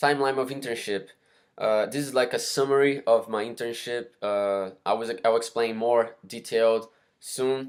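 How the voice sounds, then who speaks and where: At a moderate pace, a man with a Brazilian Portuguese accent speaks at a medium pitch. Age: 20s. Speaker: university student. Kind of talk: class presentation. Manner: halting, many fillers.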